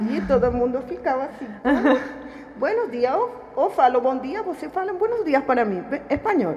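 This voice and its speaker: With a Spanish accent, a woman speaks at a high pitch and a moderate pace. Her pitch swings very widely over noticeable background noise. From Venezuela. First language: Spanish (speaking Portuguese). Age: 40s. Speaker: refugee worker at a utility company. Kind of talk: interview. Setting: studio. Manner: halting.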